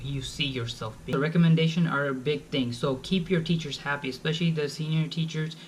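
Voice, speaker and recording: Fairly quick speech with fairly even intonation and audible room echo. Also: man. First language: Bengali. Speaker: college student vlogger. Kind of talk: advice vlog. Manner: casual, informal.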